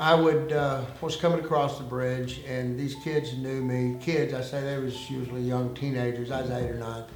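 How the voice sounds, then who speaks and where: A man's medium-pitched voice in a Southern US accent, monotone and flat, at a moderate pace with hardly any pauses, over music in the background with audible room echo. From United States, military family moving around. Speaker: former undercover informant. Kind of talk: interview. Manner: hesitant, many fillers.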